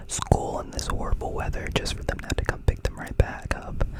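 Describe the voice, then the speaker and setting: Someone whispers at a moderate pace in a relaxed tone over noticeable background noise. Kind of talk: whispered ASMR ramble about recent life events. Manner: whispered, soft, relaxed, casual.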